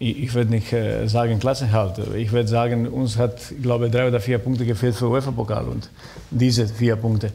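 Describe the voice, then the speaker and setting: A man delivers his words at a fairly quick pace with monotone, flat intonation. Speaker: former footballer and sporting director; talk show guest. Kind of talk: talk show discussion. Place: stage.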